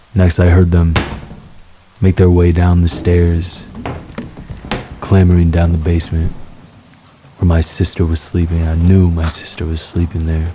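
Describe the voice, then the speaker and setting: Very deep and low, a man's voice comes in a monotone, flat intonation. Long, frequent pauses break it up, over noticeable background noise. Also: moderate pace. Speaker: horror story narrator. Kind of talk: sleep story, horror narration told to rain.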